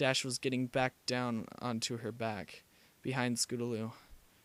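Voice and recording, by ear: A text is being read aloud in a natural voice.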